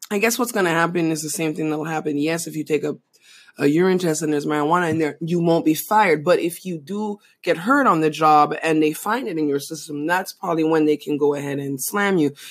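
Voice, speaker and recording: In an American accent, a woman speaks at a very fast pace with a very deep, low pitch. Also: ordinary pitch variation. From outside the US. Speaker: podcast co-host. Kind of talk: casual chat.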